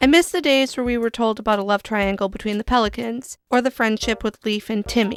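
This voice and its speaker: Over music in the background, a woman talks at a fairly quick pace with a fairly high pitch and ordinary pitch variation. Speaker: gaming YouTuber. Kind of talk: casual talk to camera.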